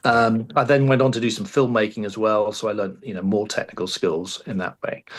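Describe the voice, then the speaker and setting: Talking at a fairly quick pace, a man speaks with an English accent. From England. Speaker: high school radio teacher. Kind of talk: interview. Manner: hesitant, many fillers.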